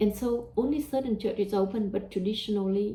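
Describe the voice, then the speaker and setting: A woman speaks with a Vietnamese accent and ordinary pitch variation. Noticeable background noise is present. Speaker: religious teacher. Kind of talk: religious talk. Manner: hesitant, with fillers.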